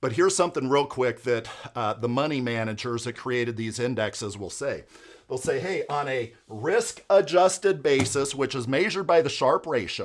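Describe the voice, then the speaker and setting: On a very clean recording with a silent background, a man with an unremarkable speaking voice talks at a moderate pace in a medium pitch with lively intonation. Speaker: financial advisor. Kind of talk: educational explainer video.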